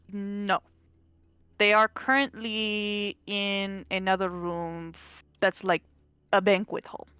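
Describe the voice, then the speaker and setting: The sound is dry and close with no echo, and music plays in the background. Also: woman. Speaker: tabletop role-playing game player. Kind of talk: tabletop role-play session. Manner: speaks loudly and clearly.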